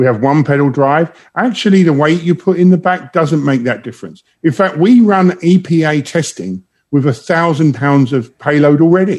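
With an English accent, a man talks in a fairly high pitch. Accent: English accent noticeable. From London, England. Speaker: automotive executive. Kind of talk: interview.

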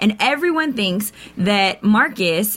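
Noticeable background noise behind a female speaker. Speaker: co-host. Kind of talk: casual chat. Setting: studio, live stream.

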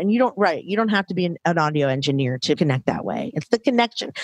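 Very fast delivery with hardly any pauses, very wide pitch swings, and a dry, close sound with no echo. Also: woman. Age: 40s. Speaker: podcaster and podcast community co-founder. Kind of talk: casual interview.

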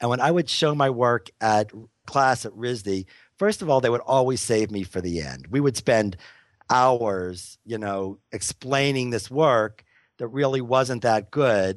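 A man with an American accent talks fairly slowly in an unremarkable speaking voice. His pitch is medium with ordinary variation, over a quiet background. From US, Pittsburgh. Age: 50s. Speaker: photographer. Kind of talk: interview.

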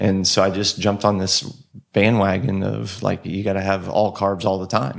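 A man with a Texan accent speaks at a moderate pace in a fairly low voice with fairly even intonation, and the recording is very clean with a silent background. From Texas, Austin. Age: 40s. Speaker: health coach and endurance athlete. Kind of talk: casual interview chat.

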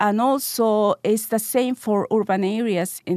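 A woman speaks with a Spanish accent at a moderate pace and ordinary pitch variation. The sound is dry and close with no echo, and the background is quiet. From Peru, Lima. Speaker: sociologist and gender expert. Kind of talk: interview.

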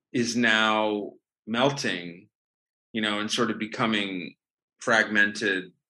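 Very slow speech in a bright, sharp tone with an American accent. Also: man. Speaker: film writer and director. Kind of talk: interview. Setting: video call.

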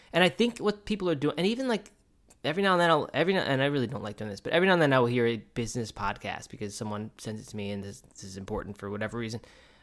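Mumbling at a very fast pace, a man's voice makes very wide pitch swings in a very clean recording with a silent background. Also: medium pitch for a man. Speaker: podcast co-host. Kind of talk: casual chat. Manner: fast, mumbling.

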